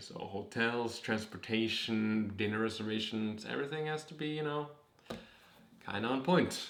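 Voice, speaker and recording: Audible room echo surrounds a man speaking. His medium pitch shows ordinary variation. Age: 20s. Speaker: vlogger, cancer survivor. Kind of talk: casual vlog.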